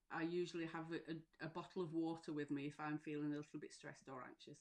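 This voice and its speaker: A woman's fairly low voice with a Lancashire accent, at a fairly quick pace. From northern England, Lancashire. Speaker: mental health support coach. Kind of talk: live stream talk. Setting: live stream. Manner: hesitant, many fillers.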